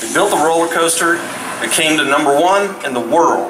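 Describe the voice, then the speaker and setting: Crowd noise fills the background as a man speaks at a high pitch and moderate pace. His intonation is lively. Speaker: roller coaster designer. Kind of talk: live event speech. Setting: outdoor stage with audience. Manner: animated.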